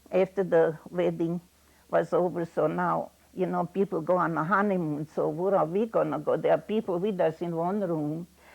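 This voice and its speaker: Vocal fry marks a woman's fairly low pitch. She talks at a moderate pace with fairly even intonation. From Yugoslavia, ethnic German. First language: German. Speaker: elderly immigrant interviewee. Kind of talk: personal testimony.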